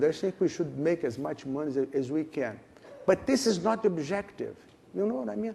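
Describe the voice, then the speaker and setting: The tone is dark and mellow. Pitch swings very widely. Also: man. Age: 70s. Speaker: management consultant. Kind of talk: interview. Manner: halting.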